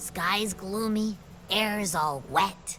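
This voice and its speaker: A woman with a medium-pitched voice puts on a playful character voice against clear background noise. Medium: video game. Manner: chatty, playful.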